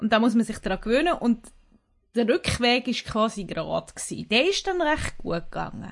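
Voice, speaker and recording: The speech moves at a moderate pace with lively intonation. It is an ordinary speaking voice. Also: woman, fairly high pitch for a woman. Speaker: podcast co-host. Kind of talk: casual chat.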